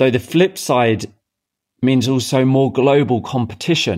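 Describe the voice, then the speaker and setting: A man of medium pitch at a fairly slow pace, a plain, everyday voice. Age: 30s. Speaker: podcast host, entrepreneur coach. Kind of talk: motivational monologue.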